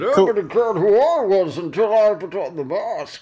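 This is a put-on character voice. It has a fairly high pitch and a moderate pace.

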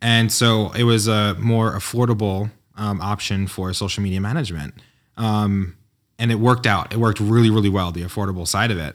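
This man has a normal speaking voice, fairly low in pitch, with an American accent. He talks at a fairly quick pace with fairly even intonation on a very clean recording with a silent background. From New York. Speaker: entrepreneur and designer. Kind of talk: casual interview chat. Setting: in-person studio.

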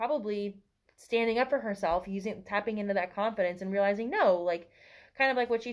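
A woman with an American accent and an ordinary speaking voice, medium in pitch and fairly even in intonation, against a quiet background. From US South. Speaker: podcast guest, book reader. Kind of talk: casual book discussion. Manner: laughs often.

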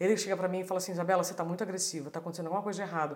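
A woman is speaking here. Her pitch is fairly low. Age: 40s. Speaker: journalist and speaker. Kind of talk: casual chat.

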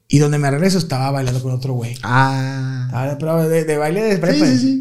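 A man's medium-pitched voice with ordinary pitch variation, plus audible room echo. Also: hardly any pauses. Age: 30s. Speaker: comedian. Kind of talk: casual chat. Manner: animated.

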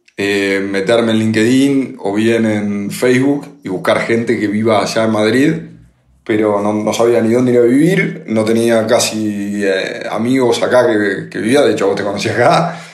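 Audible room echo surrounds the voice. The pace is moderate and the pitch variation ordinary. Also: man, medium pitch for a man. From Argentina, Buenos Aires. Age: 30s. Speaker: podcast co-host, entrepreneur. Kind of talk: casual chat.

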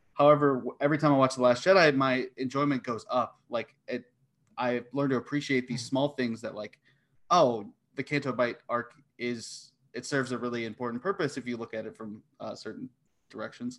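A man with a normal speaking voice, medium pitch, ordinary pitch variation, big swings in loudness and a fairly quick pace. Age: 20s. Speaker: competitive trivia player. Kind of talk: casual chat.

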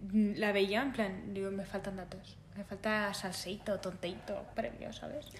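A woman's medium-pitched voice, fairly slow and fairly even in intonation, with hardly any pauses and audible room echo. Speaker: podcast host. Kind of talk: casual chat.

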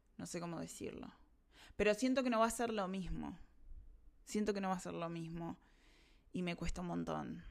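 With a Rioplatense accent, a woman speaks at a moderate pace, leaving long, frequent pauses. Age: 30s. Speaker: podcast host. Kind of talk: personal monologue. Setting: recording during online class.

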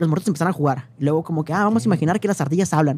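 Pitched high for a man, this voice has a dark, mellow tone and ordinary pitch variation, recorded with a dry, close sound and no echo. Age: 20s. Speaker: cultural manager and independent publisher. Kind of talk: casual chat.

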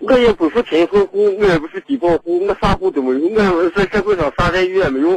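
A man with a high voice talks at a fairly quick pace with ordinary pitch variation, the sound dry and close with no echo and noticeable noise behind him. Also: hardly any pauses. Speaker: caller. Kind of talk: phone call-in. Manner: halting.

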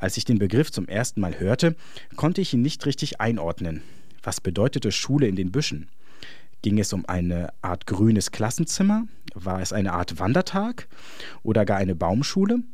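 With lively intonation and long, frequent pauses, a man talks at a moderate pace and a fairly low pitch. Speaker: essayist. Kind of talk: scripted narration.

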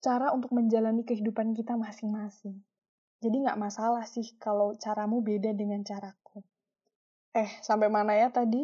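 A woman's shrill, somewhat breathy voice, fairly high in pitch yet dark and mellow in tone, at a moderate pace with fairly even intonation. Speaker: solo podcaster. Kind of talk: casual monologue.

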